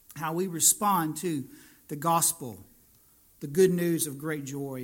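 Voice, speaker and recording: A man's plain, everyday voice, fairly high and fairly slow, with fairly even intonation, on a very clean recording with a silent background. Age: 40s. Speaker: pastor. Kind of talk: sermon.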